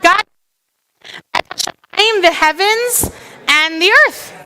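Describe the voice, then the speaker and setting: A raised, projected voice with ordinary pitch variation and a dry, close sound with no echo. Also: woman. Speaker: clergy leading service. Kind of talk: congregational teaching at celebration. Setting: synagogue sanctuary with crowd and band. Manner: loud; chatty.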